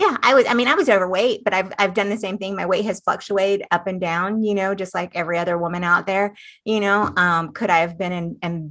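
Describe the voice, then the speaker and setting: A woman talks at a fairly quick pace in an unremarkable speaking voice. Her pitch sits in the medium range. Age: 50s. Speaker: cancer survivor. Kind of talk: interview.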